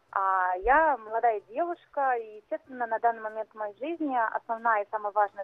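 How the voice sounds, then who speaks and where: A woman with a plain, everyday voice speaks at a moderate pace, fairly high in pitch, with ordinary pitch variation. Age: 30s. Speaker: caller. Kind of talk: phone-in confession.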